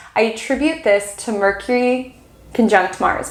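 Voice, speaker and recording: A woman speaks over noticeable background noise. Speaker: astrologer. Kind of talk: weekly astrology forecast. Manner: fast; animated.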